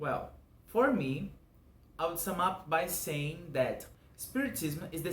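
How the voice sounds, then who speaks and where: A man with a Portuguese accent talks at a fairly slow pace with lively intonation, and audible room echo surrounds his voice. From Brazil. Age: 20s. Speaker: religious educator. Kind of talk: scripted narration.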